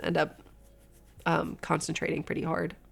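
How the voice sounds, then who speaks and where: A woman talks over music playing in the background. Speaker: vtuber streamer. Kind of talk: casual livestream chat. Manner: straining to talk.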